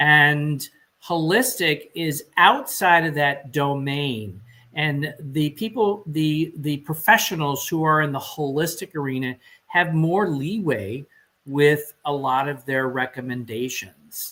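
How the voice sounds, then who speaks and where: On a very clean recording with a silent background, the voice moves at a very slow pace with ordinary pitch variation. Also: man. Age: 70s. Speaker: holistic wellness coach. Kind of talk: interview. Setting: live stream.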